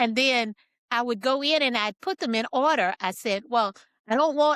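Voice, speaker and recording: In a plain, everyday voice, a woman with a fairly high pitch and lively intonation talks at a moderate pace, the sound dry and close with no echo. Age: 60s. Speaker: author and engineer. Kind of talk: interview.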